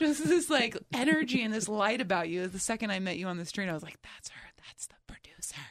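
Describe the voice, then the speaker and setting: Very fast and in an American accent, a woman speaks at a fairly high pitch with very wide pitch swings and big swings in loudness. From New Jersey. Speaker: comedian and radio host. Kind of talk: casual interview chat. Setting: studio.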